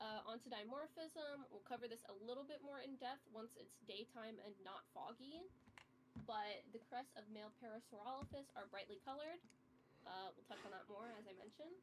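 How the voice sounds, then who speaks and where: With a plain, everyday voice, a woman talks at a moderate pace and a fairly high pitch, using ordinary pitch variation. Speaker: game roleplay guide. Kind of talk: tutorial.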